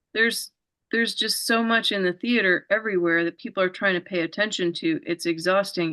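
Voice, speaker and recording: A woman speaks in a bright, sharp tone. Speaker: talk show host. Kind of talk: interview conversation.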